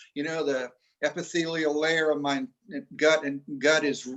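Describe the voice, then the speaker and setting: Bright and sharp in tone, a man speaks at a fairly high pitch in a monotone, flat intonation. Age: 60s. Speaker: doctor and health entrepreneur. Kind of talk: Q&A on a group call. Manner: halting, with many fillers and restarts.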